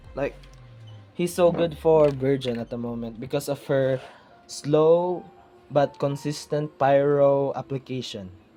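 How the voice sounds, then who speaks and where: Fairly slow speech broken by long, frequent pauses, with music in the background. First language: not English. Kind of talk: casual gaming talk to camera.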